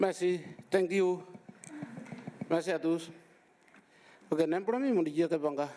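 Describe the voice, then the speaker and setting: Against noticeable background noise, a man talks at a fairly quick pace with a high pitch, ordinary pitch variation, and long, frequent pauses. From Papua New Guinea. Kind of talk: conference talk.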